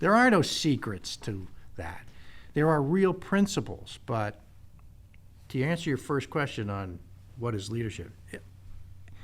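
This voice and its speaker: The recording is very clean, with a silent background. A man speaks at a moderate pace with very wide pitch swings. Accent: American. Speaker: retired army general. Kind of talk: interview answer. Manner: direct, no-nonsense.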